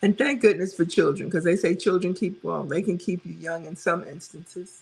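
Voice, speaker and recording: A woman with an American accent, fairly low in pitch and somewhat breathy, at a fairly quick pace with big swings in loudness. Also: ordinary pitch variation. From New York City, Brooklyn. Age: 60s. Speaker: weight loss vlogger, live stream host. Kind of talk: casual live stream chat reading comments. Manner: animated.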